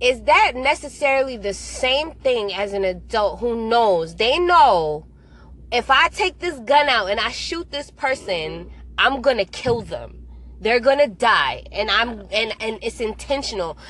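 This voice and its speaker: This woman's voice sits fairly high and carries lively intonation with vocal fry. She speaks at a fairly slow pace. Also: quiet background. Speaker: radio show host. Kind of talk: casual chat.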